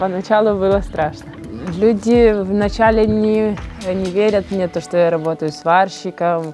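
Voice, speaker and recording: Over clear music in the background, a woman speaks at a fairly slow pace with fairly even intonation. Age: 20s. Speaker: welder. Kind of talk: interview answer. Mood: shy, smiling, modest. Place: farm machine. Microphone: lapel.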